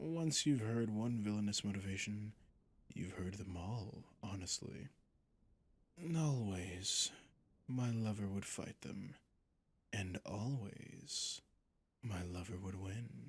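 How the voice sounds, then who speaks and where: A put-on character voice from a man, fairly low in pitch, at a fairly slow pace broken by long, frequent pauses. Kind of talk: ASMR roleplay. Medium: solo performance. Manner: slow, savoring, condescending.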